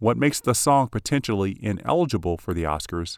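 In an ordinary speaking voice, a man with a fairly low pitch talks at a moderate pace with lively intonation, in a dry, close, echo-free sound on a very clean recording with a silent background. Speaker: podcast host. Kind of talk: scripted narration of film music history, read in an even, informative tone. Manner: formal; measured, informative.

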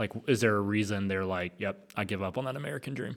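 A man speaks in an unremarkable speaking voice, fairly low in pitch with ordinary pitch variation and a fairly quick pace. The recording is very clean, with a silent background. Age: 30s. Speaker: associate pastor. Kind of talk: casual chat.

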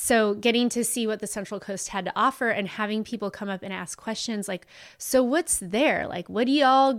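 A woman at a fairly quick pace in an unremarkable speaking voice, fairly high in pitch with ordinary pitch variation. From Southern California (Ventura). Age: 40s. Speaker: sommelier and wine shop owner. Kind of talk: casual chat.

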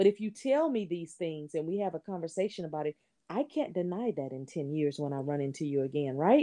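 A woman with an American accent talks at a fairly quick pace in a dark, mellow tone, her pitch swinging very widely. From Texas, Houston. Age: 40s. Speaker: entrepreneur and podcaster. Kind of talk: casual interview.

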